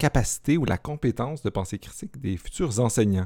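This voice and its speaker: In a Quebec accent, a man speaks at a moderate pace with very wide pitch swings, the sound dry and close with no echo on a very clean recording with a silent background. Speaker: podcast host, philosophy teacher. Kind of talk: casual interview.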